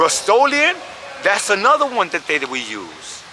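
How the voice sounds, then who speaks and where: With a New York accent, a man talks at a moderate pace. Noticeable background noise can be heard. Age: 60s. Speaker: hip-hop pioneer, graffiti artist. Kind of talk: interview. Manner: casual, profane storytelling.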